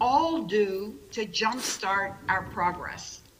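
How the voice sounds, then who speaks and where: A woman with an American accent speaks very slowly, her pitch fairly high and her intonation lively. The room echoes audibly, and background noise is noticeable. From New York. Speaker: keynote speaker, business consultant. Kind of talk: keynote speech.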